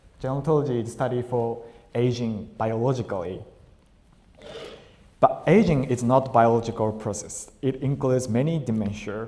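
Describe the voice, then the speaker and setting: Quiet and medium-pitched, a man speaks at a moderate pace with ordinary pitch variation and long, frequent pauses while room echo is audible. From Japan, Tokyo. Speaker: Buddhist minister, guest lecturer. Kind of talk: lecture. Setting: temple hall with audience, PA system. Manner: halting. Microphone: too quiet, volume adjusted.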